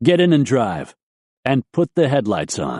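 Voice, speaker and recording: A man puts on a growling character voice at medium pitch, with lively intonation, a moderate pace and a dry, close sound with no echo. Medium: read story. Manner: clipped, commanding.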